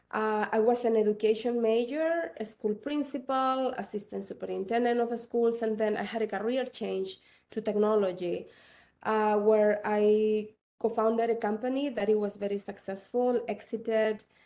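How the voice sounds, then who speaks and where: In a very clean recording with a silent background, a woman with a Chilean accent speaks at a moderate pace, fairly high in pitch with a dark, mellow tone and fairly even intonation. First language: Spanish. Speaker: tech entrepreneur. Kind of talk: panel discussion.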